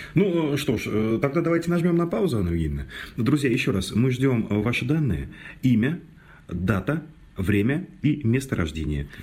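A man's medium-pitched voice with vocal fry, very wide pitch swings, a moderate pace and long, frequent pauses. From Mordovia, Russia. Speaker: radio host. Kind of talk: casual chat.

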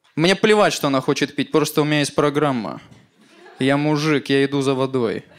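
This man has an unremarkable speaking voice, pitched fairly high. His pace is moderate and his pitch varies in an ordinary way. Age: 20s. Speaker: stand-up comedian. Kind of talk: stand-up.

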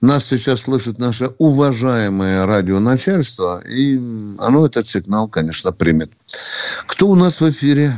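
The pitch swings very widely while the loudness stays very even, at a moderate pace with long, frequent pauses. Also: man. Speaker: radio host, retired army colonel. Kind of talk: call-in radio show. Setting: studio. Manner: blunt, abrupt with callers.

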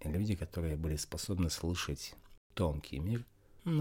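A man with a very deep, low pitch and a dark, mellow tone speaks at a moderate pace, sounding somewhat breathy. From Russia. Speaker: spiritual game master and yoga teacher. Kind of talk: interview.

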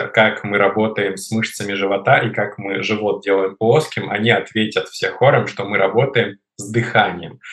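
A man with an ordinary speaking voice talks at a fairly slow pace, his pitch fairly low and his intonation fairly even. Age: 20s. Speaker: fitness trainer. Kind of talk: interview.

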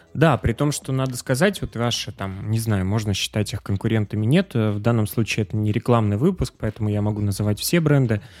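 This man has an unremarkable speaking voice, medium in pitch with ordinary pitch variation, at a fairly quick pace. The sound is very clean and dry, close with no echo and a silent background. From Pyatigorsk, southern Russia. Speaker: podcast host. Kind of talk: interview.

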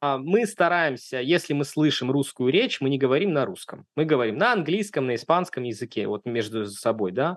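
A man with an ordinary speaking voice talks at a moderate pace with lively intonation. The background is quiet. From Russia, Saint Petersburg. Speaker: immigrant sharing relocation experience. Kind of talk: casual interview.

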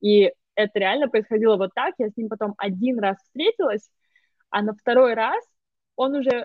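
At a moderate pace, a woman with fairly high pitch and ordinary pitch variation speaks in big swings of loudness, broken by long, frequent pauses. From Russia, Moscow. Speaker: digital marketer. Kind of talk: casual conversation.

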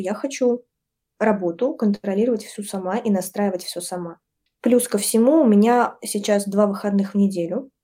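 Her tone is dark and mellow. The woman's pitch moves up and down in an ordinary way. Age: 20s. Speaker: brand designer and design teacher. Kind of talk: podcast interview.

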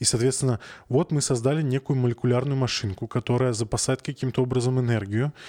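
A man's dark, mellow tone in a dry, close sound with no echo, very clean recording and silent background. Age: 30s. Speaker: podcast host. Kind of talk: casual chat.

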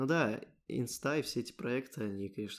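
A man's unremarkable speaking voice at medium pitch and a fairly quick pace, on a very clean recording with a silent background. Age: 20s. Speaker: podcast host, software developer. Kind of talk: casual chat.

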